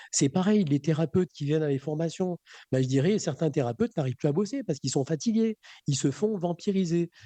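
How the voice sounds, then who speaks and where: A man speaks in a high pitch. His voice has a dark, mellow tone. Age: 60s. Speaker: magnetic healer and trainer. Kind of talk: radio interview. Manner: halting, many fillers and repetitions.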